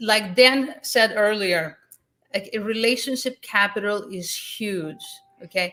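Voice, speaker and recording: A woman with a Greek accent speaks at a fairly slow pace in a fairly high pitch, her bright, sharp tone showing big swings in loudness and ordinary pitch variation. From Greece. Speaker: real estate investor, event host. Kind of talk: online summit interview. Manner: animated.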